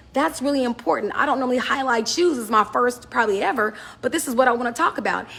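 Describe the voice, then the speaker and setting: The voice is loud and animated in tone. Noticeable background noise runs underneath. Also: woman. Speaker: business fashion vlogger. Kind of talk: casual advice talk to camera.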